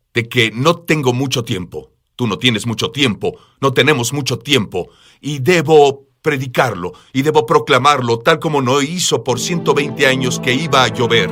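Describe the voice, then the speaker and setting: With a bright, sharp tone and some vocal fry, a man speaks at medium pitch and a moderate pace with ordinary pitch variation. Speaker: preacher. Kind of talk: interview. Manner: urgent.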